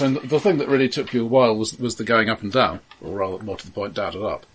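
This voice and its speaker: Speaking very fast at a medium pitch, a man shows big swings in loudness and ordinary pitch variation over noticeable background noise. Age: 40s. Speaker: tabletop game master. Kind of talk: role-playing game narration. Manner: halting.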